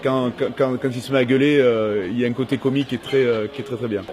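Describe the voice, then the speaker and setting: A man speaks with fairly even intonation over noticeable background noise. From Toulon, southern France. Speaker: comedian and actor. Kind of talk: interview. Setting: train station. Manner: hesitant, many fillers.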